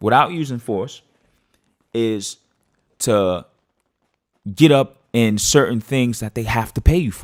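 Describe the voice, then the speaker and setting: A man's animated, lively-toned delivery at a fairly slow pace. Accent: New York. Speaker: podcast host. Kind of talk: casual monologue. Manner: halting.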